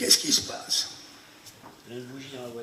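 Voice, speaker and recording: A man talks in a room with audible echo, and noticeable noise sits behind him. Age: 70s. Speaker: actor and memory performer. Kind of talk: masterclass demonstration. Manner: animated.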